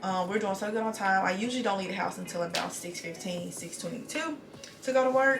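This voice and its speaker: A woman of medium pitch talks at a fairly quick pace with ordinary pitch variation, amid noticeable background noise and audible room echo. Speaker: NICU nurse and lifestyle vlogger. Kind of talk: casual get-ready-with-me vlog. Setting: at home. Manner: very fast, few pauses.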